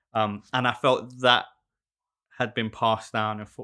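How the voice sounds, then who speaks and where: With a South London accent, a man speaks at a fairly low pitch and with fairly even intonation. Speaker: shoemaker and small business owner. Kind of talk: casual interview chat. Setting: studio.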